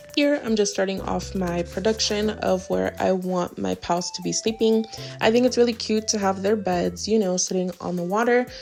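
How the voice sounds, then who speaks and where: With music in the background, a woman talks at a moderate pace with hardly any pauses. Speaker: gaming YouTuber. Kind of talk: gameplay voiceover tutorial. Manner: casual, chatty.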